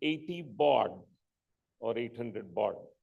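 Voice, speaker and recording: Audible room echo fills the space. Within it, a man talks. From India, Karnataka (Mysore). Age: 60s. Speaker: entrepreneur. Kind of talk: conference talk. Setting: stage with audience. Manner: halting, many fillers.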